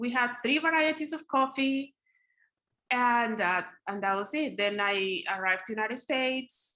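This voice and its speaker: A woman speaks in a high pitch with a bright, sharp tone and lively intonation. She goes fairly slowly, with long, frequent pauses, against a quiet background. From Colombia (Bogotá). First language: Spanish. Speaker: poet. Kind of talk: interview.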